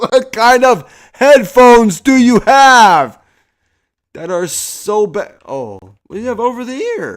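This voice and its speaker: The pace is very slow, with big swings in loudness. The recording is very clean, with a silent background. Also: man. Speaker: gaming streamer. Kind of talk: casual chat.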